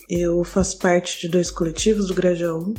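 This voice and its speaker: Noticeable background noise sits under a woman speaking at a moderate pace in a fairly low voice. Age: 20s. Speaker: non-binary interviewee, theatre and audiovisual collective member. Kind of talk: personal testimony.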